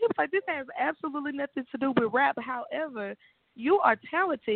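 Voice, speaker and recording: With an American accent, a woman speaks fairly quickly, her pitch swinging very widely. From Shreveport, Louisiana. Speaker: R&B pop singer and dance studio owner. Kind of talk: interview. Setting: phone call. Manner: animated, laughing.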